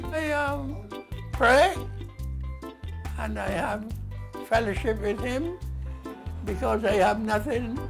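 A man talks at a very slow pace with long, frequent pauses. Clear music plays in the background. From Barbados. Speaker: centenarian interviewee. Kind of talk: interview answer. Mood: calm, devout. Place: home room.

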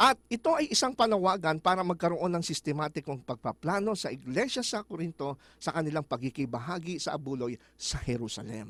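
The pace is fairly quick, with hardly any pauses and very wide pitch swings. The sound is dry and close with no echo. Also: man, high pitch for a man. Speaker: Bible study teacher. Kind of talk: Bible study discussion.

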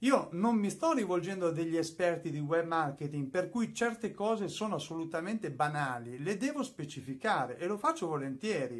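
A man talks in a high voice with lively intonation. He keeps a moderate pace with hardly any pauses, over a quiet background. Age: 50s. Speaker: YouTuber and music producer; YouTuber. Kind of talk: tutorial. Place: studio.

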